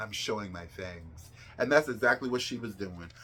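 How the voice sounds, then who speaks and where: A woman's bright, sharp, animated voice with vocal fry, at a fairly quick pace. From New Jersey. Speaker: pop culture commentator. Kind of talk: casual commentary vlog.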